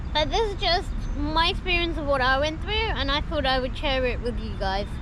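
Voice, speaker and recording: A woman talks at a fairly quick pace with a high pitch and lively intonation. Noticeable background noise and audible room echo are present. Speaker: vlogger, wheelchair user. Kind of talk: casual chat. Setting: outdoors.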